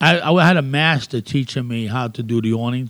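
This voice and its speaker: A man with a New York accent talks at a moderate pace and a medium pitch. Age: old. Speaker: graffiti artist. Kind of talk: casual interview.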